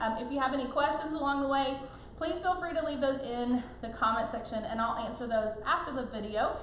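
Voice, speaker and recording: A woman talks at a fairly quick pace in a high voice with ordinary pitch variation. Noticeable background noise and audible room echo fill the recording. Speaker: cooking product consultant. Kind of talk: live product demonstration. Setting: live stream. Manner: fast.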